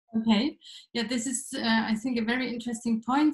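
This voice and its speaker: A woman's high-pitched voice, monotone and flat in intonation, with audible room echo over a quiet background. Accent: German. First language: German. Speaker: panel moderator. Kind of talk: panel discussion. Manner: halting, many fillers. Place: office. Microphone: video call.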